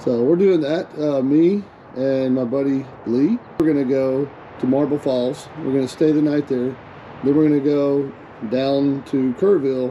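A man at a moderate pace, with fairly even intonation over light background noise. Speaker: motorcycle vlogger. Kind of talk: casual vlog chat. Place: motorbike. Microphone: helmet.

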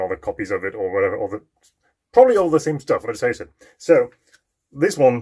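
A man speaks in a somewhat breathy voice against a quiet background. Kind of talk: casual vlog chat. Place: workshop. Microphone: phone near.

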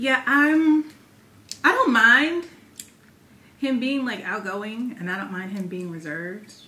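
A woman with an American accent speaks fairly slowly in a high voice, with long, frequent pauses, very wide pitch swings and big shifts in loudness. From US Midwest, Chicago area. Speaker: vlogger. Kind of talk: casual chat. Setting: at home. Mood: relaxed, playful. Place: home room.

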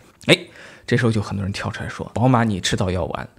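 A man is talking. His pitch is medium for a man. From China, Hubei (Shiyan); Hubei, China. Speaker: auto industry commentator. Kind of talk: video commentary monologue. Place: home room. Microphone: studio mic.

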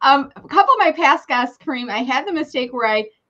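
The voice is raised and projected, with a bright, sharp tone and very wide pitch swings. The background is quiet. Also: woman. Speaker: live show host. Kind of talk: casual interview host chat. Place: home room. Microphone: video call.

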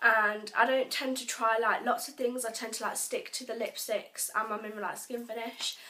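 Speech at a moderate pace, ordinary pitch variation, and noticeable background noise behind it. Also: woman. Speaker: vlogger. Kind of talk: casual vlog. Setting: bedroom, home video. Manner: casual, rambling.

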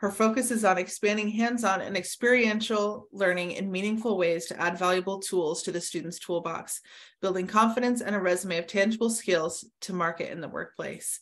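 Speaking at a fairly quick pace with hardly any pauses, a woman keeps her intonation fairly even. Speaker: content marketing manager, webinar host. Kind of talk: webinar panel moderation. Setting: video call. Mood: friendly, engaged. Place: home room. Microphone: webcam.

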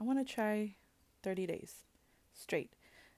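Soft-spoken delivery at a fairly slow pace. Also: woman. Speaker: vlogger. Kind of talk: casual video diary talk to camera. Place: home room. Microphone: earbuds.

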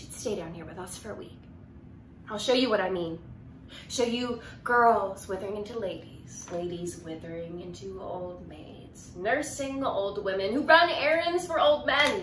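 Amid audible room echo and light background noise, a woman speaks at a fairly slow pace with very wide pitch swings and big swings in loudness. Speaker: actor. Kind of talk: dramatic monologue performance, contemporary then classical. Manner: wry, conversational teenage-girl voice with sarcastic asides; rising to defiant, impassioned outbursts in the classical piece. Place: home room. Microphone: phone near.

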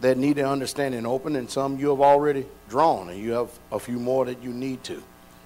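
Fairly quick speech with fairly even intonation over light background noise. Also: man. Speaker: pastor. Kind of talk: prayer then sermon. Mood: fervent, reverent. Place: church. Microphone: podium.

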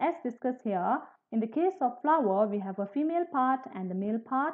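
Over a quiet background, a woman talks at a moderate pace with a high pitch. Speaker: biology teacher. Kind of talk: lecture. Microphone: webcam.

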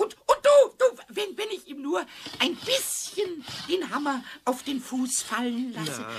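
Playful and high-pitched, the put-on character voice bounces through the line. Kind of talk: children's radio play. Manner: cheeky, playful, wheedling.

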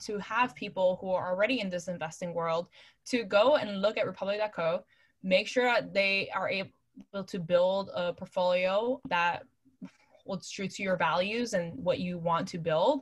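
A woman with an American accent speaks at a moderate pace and a medium pitch. Her voice is somewhat breathy, with ordinary pitch variation. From New York City. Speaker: venture capital investor. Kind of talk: casual interview.

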